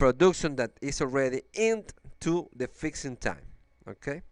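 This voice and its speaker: A man's very slow, lively-toned delivery in a very clean recording with a silent background. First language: Spanish. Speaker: engineer. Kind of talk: software demo walkthrough. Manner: halting, with fillers and repetitions.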